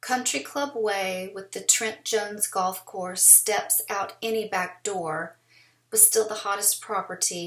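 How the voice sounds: The natural reading voice keeps its intonation fairly even.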